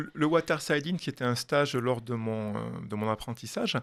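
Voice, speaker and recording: With a Toulouse accent, a man speaks at a moderate pace and with lively intonation. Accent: southern French (Toulouse). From southwestern France, Toulouse. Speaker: pastry chef and chocolatier consultant. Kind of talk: radio interview. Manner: hesitant, many fillers.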